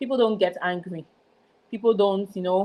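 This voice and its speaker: A woman speaks at a medium pitch and a moderate pace. Her tone is dark and mellow, her intonation fairly even. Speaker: former program student, soon-to-be manager. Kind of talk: interview testimony. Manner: sometimes stutters.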